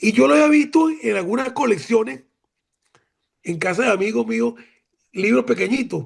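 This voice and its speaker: A man's high, animated voice at a moderate pace, with very wide pitch swings and long, frequent pauses. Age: 70s. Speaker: retired admiral, former defense minister. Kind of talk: academic seminar remarks.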